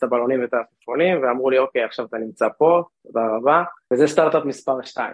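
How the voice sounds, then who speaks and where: A plain, everyday voice from a man, medium-pitched, fairly quick, with ordinary pitch variation. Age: 30s. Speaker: drone startup co-founder and CTO. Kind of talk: interview.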